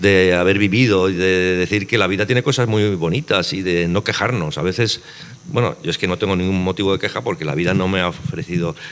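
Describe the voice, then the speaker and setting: A man with a fairly low voice talks at a fairly quick pace with lively intonation over noticeable background noise. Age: 60s. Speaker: novelist. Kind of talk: panel conversation.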